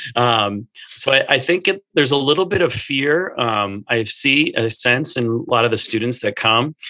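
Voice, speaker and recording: An unremarkable speaking voice moves at a moderate pace with lively intonation, hardly any pauses and very even loudness. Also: man, medium pitch for a man. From Minnesota, US. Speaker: church staff in youth ministry. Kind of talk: casual interview conversation.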